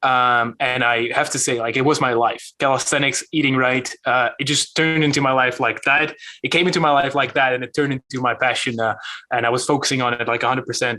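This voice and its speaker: A man talks at a very fast pace with a Dutch accent. His tone is bright and sharp, medium in pitch, with ordinary pitch variation. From Netherlands. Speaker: calisthenics YouTuber. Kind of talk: podcast interview. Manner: hesitant, many fillers.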